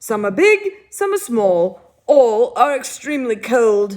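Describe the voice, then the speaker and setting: In a put-on character voice, a woman speaks high and fairly slowly with very wide pitch swings. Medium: read story. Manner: fussy, lecturing.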